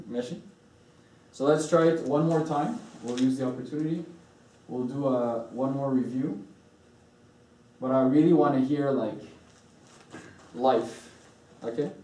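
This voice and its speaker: Long, frequent pauses break up a man's medium-pitched speech at a moderate pace with ordinary pitch variation, heard with audible room echo and noticeable background noise. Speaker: church deacon teacher. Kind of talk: choir practice lesson.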